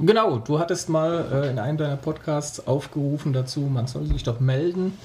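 Somewhat breathy and dark, mellow in tone, this man's voice sits at a fairly high pitch with ordinary variation and moves at a moderate pace. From Franconia, Nuremberg (Germany). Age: 30s. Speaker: hobby photographer. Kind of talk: podcast interview.

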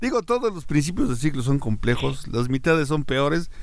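A man with a Mexican accent speaks in a fairly high pitch. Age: 60s. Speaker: podcast host. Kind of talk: casual chat. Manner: halting, many fillers.

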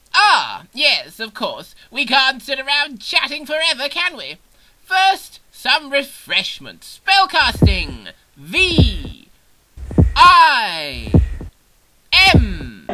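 A put-on character voice, high in pitch, moves very slowly with long, frequent pauses. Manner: pompous, rambling.

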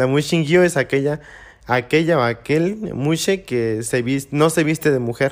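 In an ordinary speaking voice, the speaker goes at a fairly slow pace with ordinary pitch variation. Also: man. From Mexico, Oaxaca (Juchitán, Isthmus). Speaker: muxe interviewee, traditional dancer. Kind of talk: interview. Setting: in-person studio with small audience.

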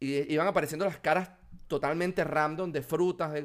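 With a Venezuelan accent and ordinary pitch variation, the voice comes through on a very clean recording with a silent background. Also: man. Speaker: software developer. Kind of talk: casual interview.

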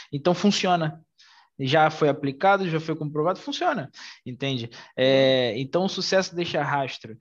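With an unremarkable speaking voice, a man talks at a moderate pace and fairly high pitch with ordinary pitch variation. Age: 20s. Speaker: podcast host and mentor. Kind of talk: casual chat.

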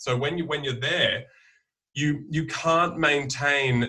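A man with an Australian accent speaks in a bright, sharp tone. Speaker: herbalist. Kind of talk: casual chat. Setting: video call.

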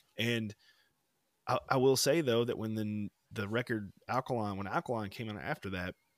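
A normal speaking voice from a man at medium pitch, with a dry, close sound and no echo. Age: 30s. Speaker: podcast co-host. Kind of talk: casual chat.

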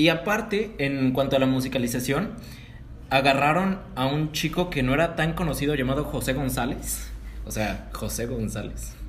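In a Mexican accent, a man speaks at a moderate pace with audible room echo. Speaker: podcast host. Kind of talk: casual chat.

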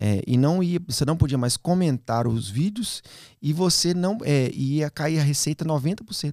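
At a fairly slow pace, a man with a fairly high pitch speaks in an unremarkable speaking voice. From Minas Gerais, Brazil (Belo Horizonte). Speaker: children's YouTube creator and musician. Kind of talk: casual podcast interview.

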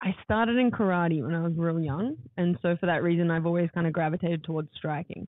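Speaking at a very fast pace in an Australian accent, a woman keeps a fairly low pitch, ordinary pitch variation and very even loudness. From Gold Coast, Australia (born in New Zealand). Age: 20s. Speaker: MMA fighter. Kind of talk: casual interview. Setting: podcast room in a hotel.

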